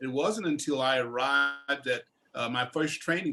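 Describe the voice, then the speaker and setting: A man speaks with a Southern US accent. His intonation stays fairly even. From US South, northern Louisiana. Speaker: war veteran. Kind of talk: panel discussion. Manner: halting.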